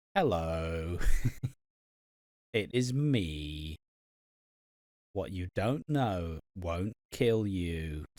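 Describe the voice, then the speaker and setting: A man's put-on character voice, very deep and low, at a very slow pace with long, frequent pauses and lively intonation, in a very clean, dry, close recording with no echo and a silent background. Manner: obnoxious, odd cadence.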